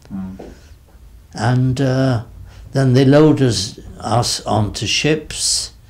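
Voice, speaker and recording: Here a man talks at a very slow pace with ordinary pitch variation. He leaves long, frequent pauses. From England. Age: 80s+. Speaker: war veteran, former army dentist. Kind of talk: interview answer. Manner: slow, hesitant. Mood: reflective, calm memory. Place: home room.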